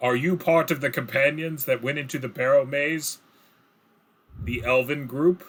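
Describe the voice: A booming put-on character voice from a man, fairly high in pitch, at a moderate pace with long, frequent pauses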